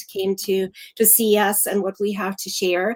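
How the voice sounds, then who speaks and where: With a German accent, a woman speaks at a medium pitch in monotone, flat intonation, the sound dry and close with no echo. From Germany. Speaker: activist. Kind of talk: interview.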